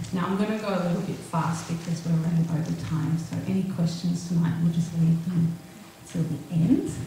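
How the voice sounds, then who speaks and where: Strong room echo and light background noise surround a woman at a fairly low pitch. She talks at a moderate pace with monotone, flat intonation. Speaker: natural health therapist. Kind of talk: presentation to a live audience. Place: hall.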